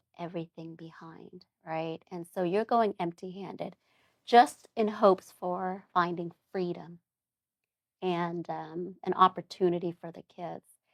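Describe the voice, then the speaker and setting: A woman with an unremarkable speaking voice talks fairly slowly at a fairly low pitch with fairly even intonation. The sound is dry and close, with no echo. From Germany, then US (moved between states, settled in New Orleans). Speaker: doctor and public speaker. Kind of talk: interview testimony.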